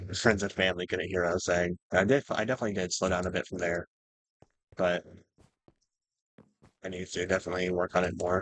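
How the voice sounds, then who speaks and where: A man with a very deep, low pitch speaks at a very fast pace in a flat monotone, leaving long, frequent pauses. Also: dry, close sound with no echo. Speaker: gaming youtuber. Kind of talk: gameplay commentary.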